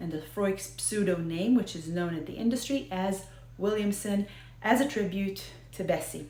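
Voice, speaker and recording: With an American accent, a woman of medium pitch speaks at a moderate pace with ordinary pitch variation, amid audible room echo and noticeable background noise. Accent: American Israeli. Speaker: whiskey video host. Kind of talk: casual talk to camera about whiskey history. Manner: halting, many fillers.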